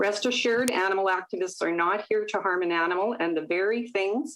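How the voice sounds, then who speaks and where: An unremarkable speaking voice, a woman's, at a medium pitch and moderate pace in a Canadian accent. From Manitoba, Canada (rural, Gilbert Plains). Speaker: public presenter at a legislative committee. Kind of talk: prepared public testimony. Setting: video call. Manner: formal. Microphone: iPad connection.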